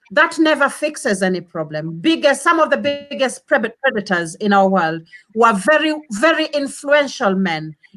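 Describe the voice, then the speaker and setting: A woman talks loudly at a high pitch and a moderate pace, with very wide pitch swings. She leaves hardly any pauses. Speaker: panel discussant. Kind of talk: heated debate.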